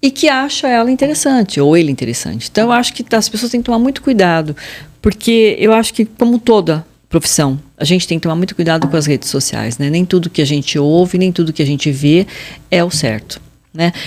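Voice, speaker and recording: A woman talks at a fairly quick pace. Her fairly low pitch makes very wide swings. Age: 60s. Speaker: fashion consultant. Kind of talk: interview.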